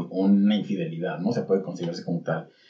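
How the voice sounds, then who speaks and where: Over noticeable background noise, a man with a Mexican accent speaks with lively intonation. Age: 30s. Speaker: podcast co-host. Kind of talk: casual chat.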